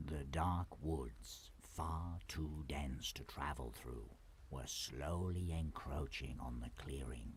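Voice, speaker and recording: A man puts on a character voice, speaking at a very slow pace in a very deep, low pitch over clear background noise. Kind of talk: bedtime-story fairy-tale narration. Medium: solo performance. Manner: calm, measured, descriptive.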